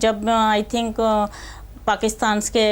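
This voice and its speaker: A woman with an Uttar Pradesh accent speaks at a medium pitch on a very clean recording with a silent background. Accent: Uttar Pradesh Hindi. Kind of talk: casual Hindi mixed with English.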